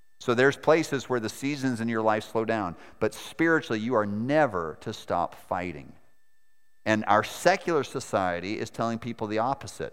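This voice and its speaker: On a very clean recording with a silent background, a man with an American accent uses a normal speaking voice at medium pitch, moderate pace and lively intonation. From Maine, US. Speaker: missionary preacher. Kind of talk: sermon. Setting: church.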